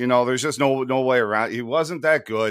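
Speaking at a fairly quick pace, this man has a medium-pitched voice, an ordinary speaking voice. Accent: American. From USA. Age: 30s. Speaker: podcast host. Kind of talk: casual chat.

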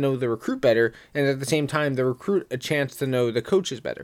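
A man talks at a fairly quick pace in an ordinary speaking voice. His pitch is fairly high with ordinary variation, and the recording is very clean with a silent background. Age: 20s. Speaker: podcast host. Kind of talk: casual sports discussion.

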